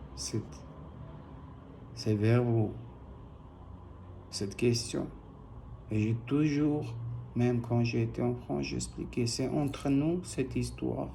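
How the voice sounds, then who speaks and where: A man with a non-native accent speaks very slowly, with long, frequent pauses. Audible room echo surrounds the voice. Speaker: private individual appealing to an official. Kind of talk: personal video appeal. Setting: video recording posted online. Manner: halting.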